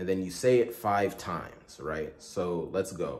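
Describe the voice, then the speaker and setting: With a very deep, low pitch and ordinary pitch variation, a somewhat breathy man speaks amid audible room echo. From Nigeria, Igbo area near Owerri. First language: Igbo. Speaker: content creator. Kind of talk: tutorial.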